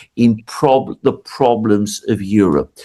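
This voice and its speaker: A man with a British accent speaks at a fairly slow pace. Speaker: political commentator. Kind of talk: interview.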